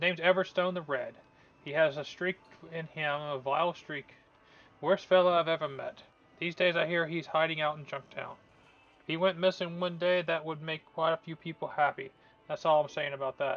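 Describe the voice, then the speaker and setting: A man puts on a gruff character voice with a fairly high pitch. He keeps a moderate pace. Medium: game stream. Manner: gruff, suspicious.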